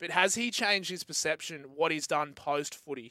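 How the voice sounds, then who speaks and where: A man with an Australian accent speaks at a moderate pace in a fairly high pitch. His tone is bright and sharp, and his intonation is lively. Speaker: sports radio host. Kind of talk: casual sports chat. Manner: laid-back, joking.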